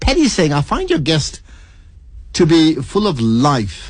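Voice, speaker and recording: Here a man speaks in a somewhat breathy voice. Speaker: radio presenter. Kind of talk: radio interview host.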